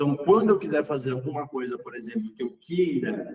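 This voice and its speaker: Here a man has a normal speaking voice. He talks at a moderate pace with a medium pitch. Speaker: umbanda teacher. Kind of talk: online lecture.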